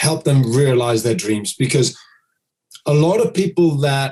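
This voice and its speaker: Somewhat breathy, the voice moves at a moderate pace with lively intonation. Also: man. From United Kingdom. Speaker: dog trainer. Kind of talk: podcast interview.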